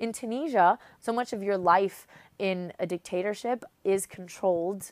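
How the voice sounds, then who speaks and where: In a very clean, dry, close recording with no echo and a silent background, a woman with an American accent speaks at a moderate pace, with medium pitch and ordinary pitch variation. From US, North Carolina. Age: 20s. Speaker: recent university graduate, activist. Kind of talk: interview testimony. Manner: hesitant, many fillers.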